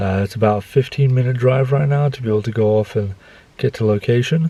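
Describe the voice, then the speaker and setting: A soft-spoken man talks at a very fast pace. His pitch sits in the medium range. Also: ordinary pitch variation. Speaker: photography vlogger. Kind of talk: vlog narration.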